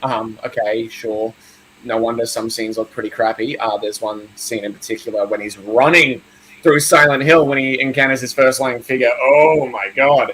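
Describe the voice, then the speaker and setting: Speaking with an Australian accent, the man has a medium pitch and ordinary pitch variation. He keeps a moderate pace amid noticeable background noise. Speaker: horror film youtuber. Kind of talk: casual chat. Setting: live stream.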